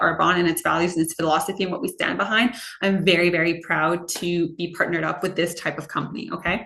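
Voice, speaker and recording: A woman's very fast speech at a fairly low pitch, over noticeable background noise. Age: 30s. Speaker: direct sales consultant. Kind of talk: sales pitch. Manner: animated.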